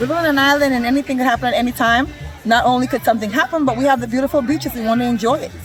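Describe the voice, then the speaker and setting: A woman talks very fast in a high pitch with fairly even intonation. Music plays in the background. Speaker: swimming program participant. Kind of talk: interview. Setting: outdoors on a beach.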